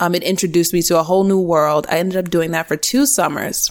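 A woman talks at a very fast pace with an American accent. Her pitch is fairly low. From US East Coast, small-town New Jersey. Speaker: iOS developer and tech educator. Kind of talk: casual interview.

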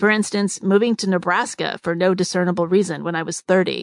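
A woman with an unremarkable speaking voice talks at a fairly quick pace, her medium pitch held in fairly even intonation. The sound is dry and close with no echo, over a quiet background. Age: 50s. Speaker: podcast host. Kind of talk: monologue. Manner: reflective.

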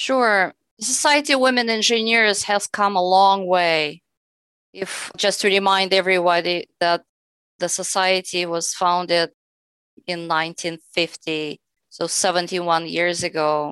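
A woman's bright, sharp voice at a medium pitch, very slow in pace, with ordinary pitch variation. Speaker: engineer. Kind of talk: interview. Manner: formal.

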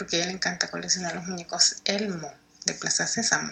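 Noticeable background noise sits behind a woman speaking with a Salvadoran accent. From El Salvador, San Salvador. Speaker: listener sharing paranormal story. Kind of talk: testimony.

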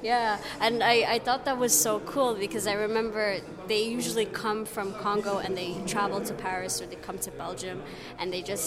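Woman at a medium pitch with ordinary pitch variation, moderate pace, and noticeable background noise. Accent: Canadian. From Canada. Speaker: festival visitor, student. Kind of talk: street interview. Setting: festival venue.

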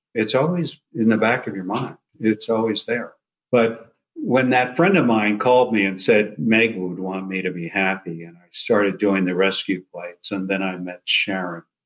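A man with an American accent and an unremarkable speaking voice, fairly low pitch, ordinary pitch variation, moderate pace, and big swings in loudness. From New Jersey. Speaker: retired surgeon and rescue pilot. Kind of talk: interview.

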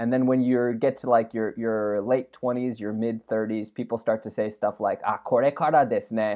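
With hardly any pauses, a man speaks at a moderate pace and medium pitch in a monotone, flat intonation. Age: 30s. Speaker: podcast co-host. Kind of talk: casual chat. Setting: remote call.

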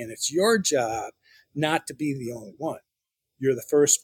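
This man's voice sits fairly high. It sounds somewhat breathy too. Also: dry, close sound with no echo. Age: 60s. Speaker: spiritual guest, former hospitality executive. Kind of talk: interview.

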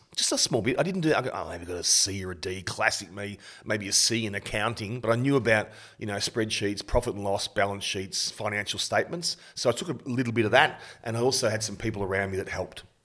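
With an Australian accent, a man talks at a very fast pace in a fairly low pitch with a bright, sharp tone and ordinary pitch variation, on a very clean recording with a silent background. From Australia, Bendigo, Victoria. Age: 50s. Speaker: suicide prevention charity founder. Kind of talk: interview.

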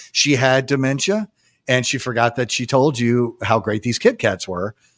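In a very clean recording with a silent background and a dry, close sound with no echo, a man speaks at a medium pitch and a moderate pace with an American accent. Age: 50s. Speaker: paranormal investigator and author. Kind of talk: casual chat. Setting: live radio show. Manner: halting, many fillers.

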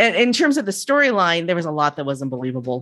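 A woman talks at a fairly quick pace in a fairly low-pitched, a normal speaking voice. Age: 50s. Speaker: podcast host and guest fan. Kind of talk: casual chat.

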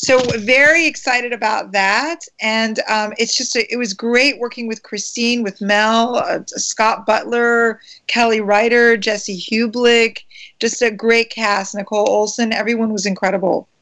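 Using a plain, everyday voice, a woman speaks at a fairly slow pace. She has a fairly high pitch and an American accent. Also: fairly even intonation. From US, Maryland. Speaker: actress. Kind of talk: interview.

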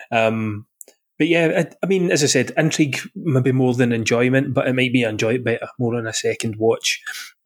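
Recorded very cleanly against a silent background, a man speaks at a moderate pace with a Glaswegian accent, medium pitch and ordinary pitch variation. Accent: Glaswegian Scottish. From Scotland, Glasgow. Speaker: podcast host. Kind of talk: casual chat.

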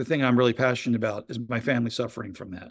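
At a fairly fast clip, a man speaks in a mid-range pitch. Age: 50s. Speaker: business consultant. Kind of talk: interview. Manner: halting.

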